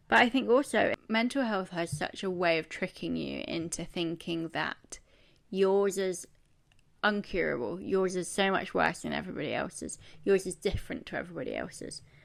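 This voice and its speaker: On a very clean recording with a silent background, a woman with a British accent speaks at a moderate pace. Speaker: podcast host. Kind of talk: casual monologue.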